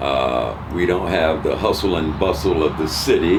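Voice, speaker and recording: A man's voice with ordinary pitch variation, over noticeable background noise and audible room echo. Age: 70s. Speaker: retired resident, interviewee. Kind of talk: casual interview. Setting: at their home. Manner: formal, articulate.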